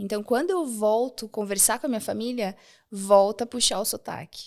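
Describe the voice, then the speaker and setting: A woman's fairly high voice at a fairly quick pace, on a very clean recording with a silent background. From Rio Grande do Sul, Brazil (small inland town). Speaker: architect and women's empowerment speaker. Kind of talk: interview podcast.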